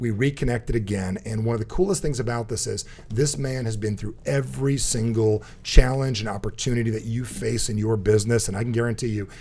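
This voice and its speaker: A man with an American accent and a medium pitch talks at a fairly quick pace with ordinary pitch variation. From New Jersey. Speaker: podcast host and speaker. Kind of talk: casual interview chat; show introduction. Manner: fast; animated.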